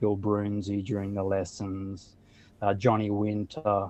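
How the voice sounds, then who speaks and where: The sound is dry and close, with no echo. The tone is dark and mellow. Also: man. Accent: Australian. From Australia, Sydney. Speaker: blues musician. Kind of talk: interview.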